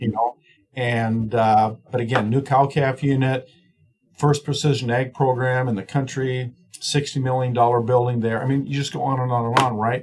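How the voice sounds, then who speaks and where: This man speaks at a moderate pace with a medium pitch and a somewhat breathy sound. His intonation is monotone and flat. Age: 60s. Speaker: swine nutrition professor. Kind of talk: podcast interview. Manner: rambling, many fillers and restarts.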